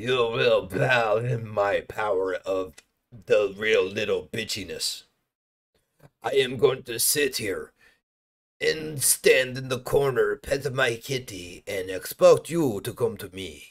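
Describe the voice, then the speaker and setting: A man puts on a character voice, pitched medium and delivered at a fairly slow pace. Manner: mocking, menacing.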